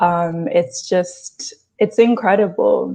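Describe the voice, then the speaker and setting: Speaking in an English accent, a woman uses a medium pitch and ordinary pitch variation. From England, London. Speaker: actor and dancer. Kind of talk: interview.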